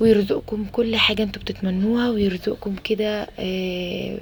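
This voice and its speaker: Soft-spoken and medium in pitch, a woman talks over noticeable background noise. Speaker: homemaker vlogger, mother. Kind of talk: casual vlog voiceover. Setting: home balcony at night. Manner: halting, many fillers.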